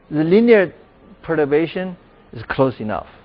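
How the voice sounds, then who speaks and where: This man speaks with a Chinese accent. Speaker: professor. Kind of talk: lecture Q&A.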